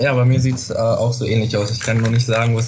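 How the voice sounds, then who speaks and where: A man is speaking. His pitch is medium. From Lower Saxony, Germany. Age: 18. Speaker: student startup marketing lead. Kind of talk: interview.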